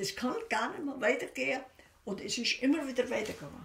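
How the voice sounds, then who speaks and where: A woman talks in a Bavarian Swabian accent. Her pitch sits high. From Bavarian Swabia, Germany. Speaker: war witness, former kindergarten teacher. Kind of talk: oral history interview answer. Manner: casual, conversational. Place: home room.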